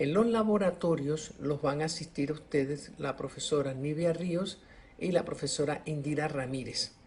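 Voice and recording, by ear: Pitched fairly high, a man's slightly mellow voice shows ordinary pitch variation. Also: moderate pace.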